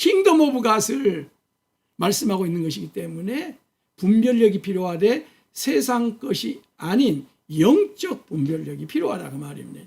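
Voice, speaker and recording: The man talks at a fairly slow pace. His loudness swings widely. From Korea, Jeolla region. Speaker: pastor. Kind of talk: sermon. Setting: church, early morning service video.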